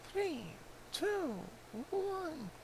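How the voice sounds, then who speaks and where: Man in a put-on character voice at an extremely high pitch, over clear background noise. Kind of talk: regal royal address. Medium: machinima. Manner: grand, uses royal we.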